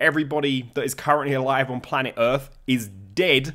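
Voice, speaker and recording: A man speaks with a British accent. The recording is very clean, with a silent background. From United Kingdom. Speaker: political commentator and lecturer. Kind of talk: video commentary.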